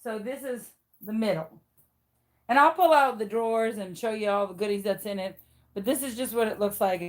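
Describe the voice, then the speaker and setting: The voice moves at a fairly quick pace with long, frequent pauses, big swings in loudness and ordinary pitch variation. Music plays in the background. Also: woman, fairly high pitch for a woman. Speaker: craft video creator. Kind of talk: casual video tour. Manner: chatty.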